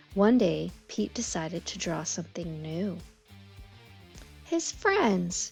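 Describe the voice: Slow speech with big pitch swings, vocal fry and a slightly husky edge plays over faint background music. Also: woman, fairly low pitch for a woman.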